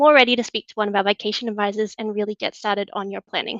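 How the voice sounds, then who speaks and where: A woman in an Australian accent, fairly high-pitched with a bright, sharp tone, dry and close with no echo over a quiet background. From Australia, Newcastle. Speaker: travel product manager. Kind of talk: webinar presentation.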